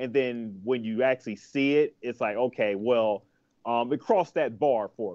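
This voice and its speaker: A man talks at a moderate pace, his pitch varying in an ordinary way, with a quiet background. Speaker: podcast co-host. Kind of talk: casual podcast discussion. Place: home room. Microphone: video call.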